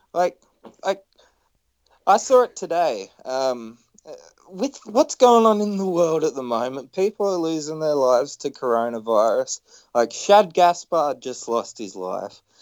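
Speaking with an Australian accent, a man uses a fairly high pitch and very wide pitch swings. His pace is fairly slow, and the sound is dry and close with no echo. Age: 20s. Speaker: podcast host. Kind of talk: casual chat.

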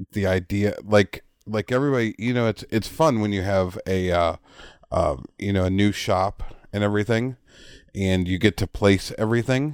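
In a dry, close sound with no echo, a man speaks at a fairly low pitch and a fairly slow pace, with ordinary pitch variation and long, frequent pauses. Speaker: podcast co-host, woodworker. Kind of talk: casual chat. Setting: video call.

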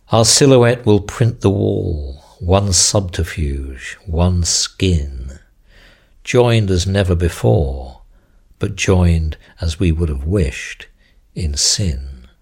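A man with a very deep, low voice speaks very slowly in a solemn, somewhat breathy tone. His intonation stays lively. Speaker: poet reading his own work. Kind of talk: poetry reading, dark and incantatory. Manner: measured and solemn; deliberate, steady, ominous delivery.

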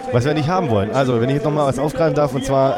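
Noticeable background noise and audible room echo around a male voice of medium pitch, its pitch varying in an ordinary way. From Stuttgart area, Germany. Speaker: podcast host. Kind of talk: casual chat.

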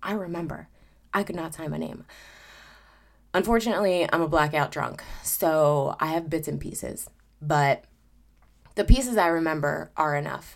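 With a very deep, low pitch, a woman talks at a moderate pace with ordinary pitch variation, long, frequent pauses and big swings in loudness. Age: 30s. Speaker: podcast host. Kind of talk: personal monologue. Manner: casual with frequent sighs and fillers.

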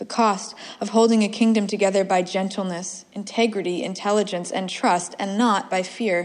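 Reading happens in a natural voice.

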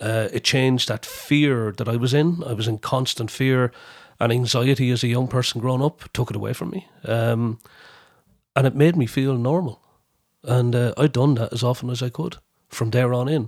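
The speaker is a man with a Wexford Irish accent. The recording is very clean, with a silent background. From Ireland, County Wexford. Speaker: historian, lecturer and folk radio presenter. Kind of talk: interview about personal recovery and drug policy.

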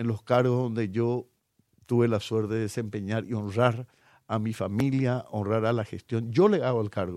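A man's dark, mellow tone at a moderate pace on a very clean recording with a silent background. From Paraguay. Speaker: politician, incoming justice minister. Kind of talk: radio interview. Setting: radio studio.

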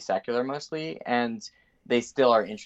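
A man with an American accent speaks at a moderate pace and a medium pitch. He has fairly even intonation and an unremarkable speaking voice. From United States. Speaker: political economist. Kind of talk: interview. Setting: remote call-in.

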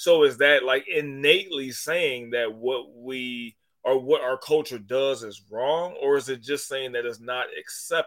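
A man with an unremarkable speaking voice talks at a fairly slow pace, medium in pitch. His intonation is fairly even, though his loudness swings widely. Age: 30s. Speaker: sports podcast host. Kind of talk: casual chat.

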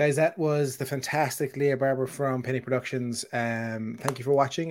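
An unremarkable speaking voice from a man, medium-pitched, fairly even in intonation, at a moderate pace. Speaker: podcast host. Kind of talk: casual interview chat. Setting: live stream.

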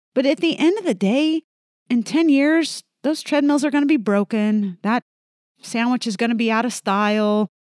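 With lively intonation and an American accent, a woman speaks at a high pitch in a dry, close sound with no echo. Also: moderate pace. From Indiana, US Midwest. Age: 50s. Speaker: senior enlisted military leader. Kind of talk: interview, personal testimony.

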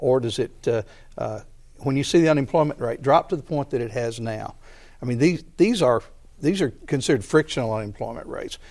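Speaking fairly quickly with a Southern US accent, a man uses a fairly high pitch and ordinary pitch variation in a very clean recording with a silent background. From Arkansas, Conway. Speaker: state senator. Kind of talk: political debate.

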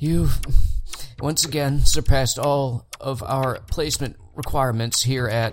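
A man puts on a wheezy character voice at a medium pitch, speaking at a fairly slow pace with fairly even intonation.

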